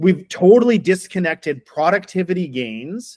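A man with a Canadian accent talks at a fairly slow pace. He has a normal speaking voice and lively intonation. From Winnipeg, Canada. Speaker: food industry association director. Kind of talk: interview conversation.

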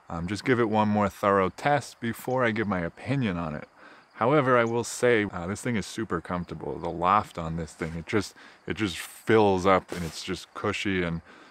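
A man with a plain, everyday voice speaks at a fairly low pitch and moderate pace, with ordinary pitch variation and a dry sound with no echo. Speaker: motorcycle camper reviewing gear. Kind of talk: product review vlog. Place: open country. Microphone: phone near.

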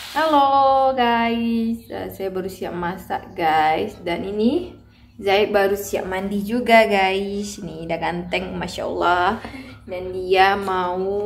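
Over light background noise, a woman talks at a very slow pace with big swings in loudness and ordinary pitch variation. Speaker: mother vlogger. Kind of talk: casual vlog chat. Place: home room. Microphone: phone near.

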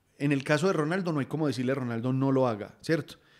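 Against a quiet background, a man speaks at a fairly high pitch and a fairly quick pace with ordinary pitch variation. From Colombia. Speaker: football podcast host. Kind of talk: casual football chat. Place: home room. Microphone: studio mic.

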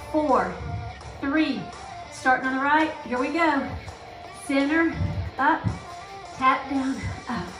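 A woman's high-pitched voice at a very slow pace, with fairly even intonation and music in the background. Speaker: fitness instructor. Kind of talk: workout instruction. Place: hall.

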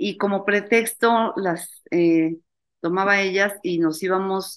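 A woman talks with ordinary pitch variation, and the background is quiet. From Mexico, Mexico City; Mexico. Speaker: university founder, spirituality event organizer; interview guest. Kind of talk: interview. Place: home room. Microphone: webcam.

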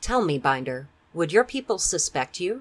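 In a put-on character voice, a man speaks with a raspy, high pitch at a moderate pace. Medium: read story. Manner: sly, taunting.

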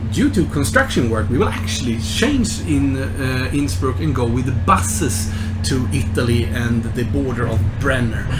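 Music plays in the background as a man speaks at a moderate pace. His pitch varies in an ordinary way. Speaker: travel vlogger. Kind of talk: casual vlog chat. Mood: cheerful, upbeat. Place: train. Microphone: phone near.

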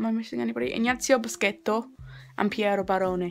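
A woman's voice over faint background music. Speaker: vlogger. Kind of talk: casual vlog chat. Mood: enthusiastic, a bit unsure. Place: home room. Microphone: phone near.

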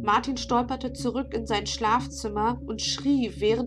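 A woman speaks fairly slowly while music plays behind her. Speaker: novelist reading her own book. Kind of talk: reading aloud. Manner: hesitant with fillers in intro.

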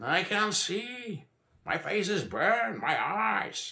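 A man puts on a character voice pitched high, with vocal fry, a bright, sharp tone, big pitch swings and a very slow pace.

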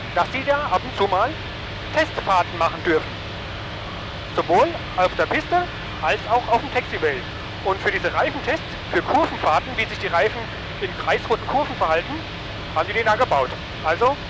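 A man speaks at a moderate pace, leaving long, frequent pauses. The sound is dry with no echo, but background noise is noticeable. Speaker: pilot vlogger. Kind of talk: casual vlog chat. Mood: amused, laughs. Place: plane. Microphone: headset.

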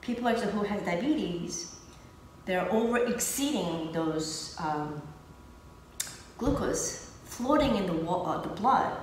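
Lively in intonation, a woman speaks at a very slow pace. Audible room echo and light background noise are present. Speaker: lifestyle coach. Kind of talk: explanatory talk to guests. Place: gym. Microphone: camera far.

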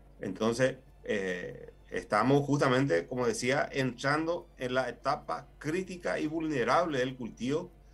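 A man with a Paraguayan accent, lively intonation and a fairly slow pace. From Paraguay, Itapúa. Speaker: agricultural engineer, plant health official. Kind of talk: expert interview. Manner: hesitant, many fillers. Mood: calm, explanatory. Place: office. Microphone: video call.

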